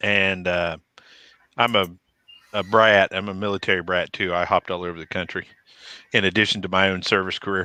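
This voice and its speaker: The speaker has a Texas accent and a bright, sharp tone, with flat, monotone intonation. The pace is fairly quick, broken by long, frequent pauses. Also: man, very deep, low pitch for a man. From Texas (Killeen). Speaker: military veteran. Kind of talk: casual chat.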